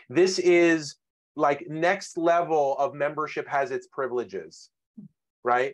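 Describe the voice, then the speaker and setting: Over a quiet background, a man talks very slowly at a fairly high pitch with fairly even intonation. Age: 40s. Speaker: webinar host, former journalist. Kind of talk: webinar moderation. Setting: video call. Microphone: webcam.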